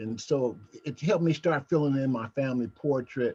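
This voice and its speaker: In an American accent, a man talks at a moderate pace with a fairly high pitch, ordinary pitch variation and a somewhat breathy sound. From Nebraska (Omaha). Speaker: genealogy group organizer. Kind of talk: video call meeting introductions. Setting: video call. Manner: halting.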